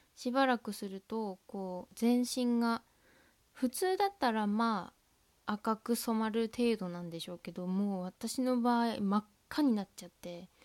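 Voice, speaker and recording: Speaking fairly slowly with a Tohoku accent, a woman uses ordinary pitch variation and big swings in loudness, recorded with a dry, close sound with no echo. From Tohoku, Japan. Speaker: student podcaster. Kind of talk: casual monologue. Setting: at home, window open.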